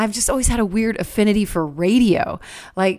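Recorded very cleanly against a silent background, a woman speaks fairly quickly in a plain, everyday voice with ordinary pitch variation. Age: 40s. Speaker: podcast host and musician. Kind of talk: casual podcast monologue. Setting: recording at a farm.

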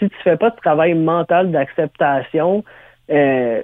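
This man has a plain, everyday voice, fairly high in pitch with ordinary pitch variation. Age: 30s. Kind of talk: interview.

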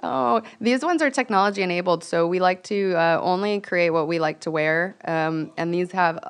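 With an American accent, a woman speaks in a normal speaking voice, fairly low in pitch with ordinary pitch variation, at a fairly quick pace with hardly any pauses. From Venice Beach, California. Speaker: startup founder. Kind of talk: casual interview.

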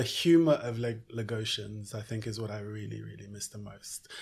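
A somewhat breathy male voice comes through a very clean recording over a silent background. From Nigeria (Lagos) and UK (London). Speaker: fashion entrepreneur. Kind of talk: interview. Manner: halting, many fillers and repetitions.

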